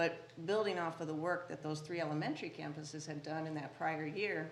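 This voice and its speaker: Talking at a fairly quick pace in an American accent, a woman with a very deep, low pitch keeps a flat, monotone intonation amid audible room echo. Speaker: school district administrator. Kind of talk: presentation to school board. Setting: board meeting room.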